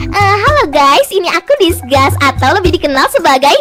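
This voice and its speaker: An extremely high-pitched, cartoonish character voice goes at a moderate pace. Clear music plays in the background. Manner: sighing.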